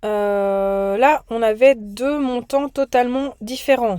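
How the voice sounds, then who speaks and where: Recorded very cleanly over a silent background, the voice has a dark, mellow tone and ordinary pitch variation. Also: woman. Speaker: teacher. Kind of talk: recorded lesson for students.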